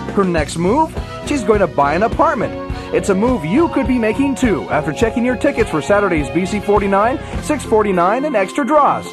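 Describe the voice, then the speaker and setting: Over music in the background, a man speaks at a fairly quick pace in a high pitch, with very wide pitch swings. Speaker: voice actor. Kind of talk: radio commercial read.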